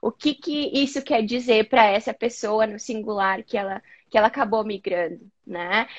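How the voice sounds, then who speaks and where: A woman with a fairly high pitch and ordinary pitch variation, an ordinary speaking voice. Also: moderate pace, dry, close sound with no echo. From southern Brazil, Rio Grande do Sul (Caxias do Sul). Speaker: psychologist. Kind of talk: interview on a live video chat.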